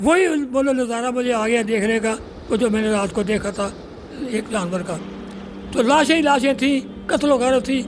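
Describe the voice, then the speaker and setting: Amid noticeable background noise, a man speaks at an extremely high pitch with ordinary pitch variation. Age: 90s. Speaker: Pakistan Movement activist. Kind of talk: interview answer, personal memories of partition.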